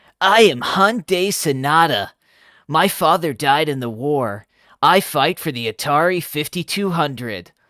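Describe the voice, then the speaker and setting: A man performs a put-on character voice. The recording is very clean, with a silent background. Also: fairly high pitch for a man, moderate pace. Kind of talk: dramatic, melodramatic. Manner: earnest, over the top.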